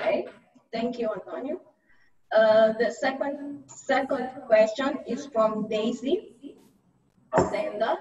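A woman talks at a very slow pace with long, frequent pauses, her pitch high and its variation ordinary. Noticeable background noise is present. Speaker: webinar moderator. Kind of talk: webinar moderating. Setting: video call. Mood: polite, calm. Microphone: video call.

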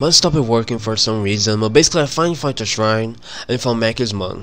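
A man talks at a fairly quick pace with a medium pitch. His tone is fairly bright, and his pitch variation is ordinary.

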